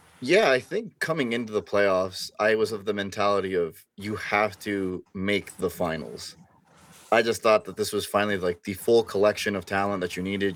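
A man with a fairly low pitch and an ordinary speaking voice, at a moderate pace. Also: fairly even intonation. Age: 20s. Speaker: Nuggets fan YouTuber, student. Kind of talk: casual sports analysis chat.

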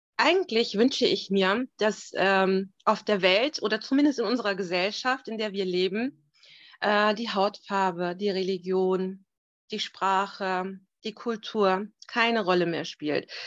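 A woman speaks at a very slow pace and a medium pitch. The background is quiet. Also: ordinary pitch variation. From Germany, Turkish roots. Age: 30s. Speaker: family support worker. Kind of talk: interview. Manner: hesitant, many fillers.

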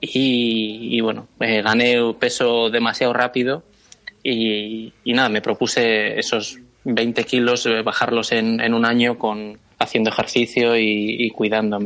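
The man's voice sits at medium pitch with a monotone, flat intonation. His loudness is very even throughout. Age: 30s. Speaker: cartoonist and advertising creative. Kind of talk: interview. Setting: phone call.

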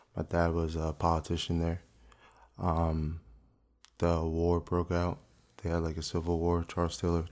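A man's very deep, low voice with a New Jersey accent, moderate pace, flat monotone delivery and long, frequent pauses, on a very clean recording with a silent background. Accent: New Jersey American. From US Northeast (South Orange, New Jersey). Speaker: actor. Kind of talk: interview. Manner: casual, hesitant with many fillers.

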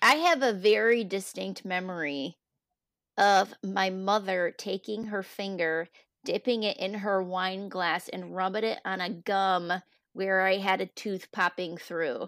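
In a very clean recording with a silent background and a dry, close sound with no echo, a woman speaks in a plain, everyday voice at medium pitch, with ordinary pitch variation and a fairly slow pace. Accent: American. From United States. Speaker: school podcast co-host, educator. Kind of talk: casual chat.

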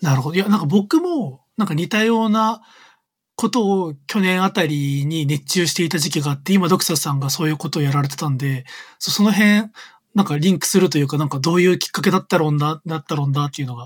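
Delivered at a very fast pace with ordinary pitch variation, this very clean recording has a silent background. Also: man, fairly high pitch for a man. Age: 30s. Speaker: creative coder. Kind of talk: casual chat. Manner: loud; frequent laughter.

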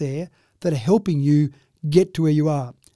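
Speaking at a fairly quick pace, a man with an Australian accent has a dark, mellow tone. The recording is very clean, with a silent background. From Australia, Dubbo, New South Wales. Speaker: local businessman and columnist. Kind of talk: oral history interview.

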